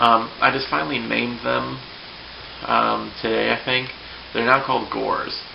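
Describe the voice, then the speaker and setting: A man with a very deep, low pitch makes very wide pitch swings and long, frequent pauses, heard through audible room echo and noticeable background noise. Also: moderate pace. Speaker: hobbyist video blogger. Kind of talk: casual vlog explanation. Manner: hesitant, many fillers.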